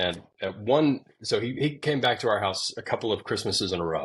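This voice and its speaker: A man talks at a fairly quick pace with an American accent. His pitch varies in an ordinary way. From Arkansas, US South. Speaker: YouTube show host and media producer. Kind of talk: casual interview chat. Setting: podcast recording. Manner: halting, many fillers and restarts.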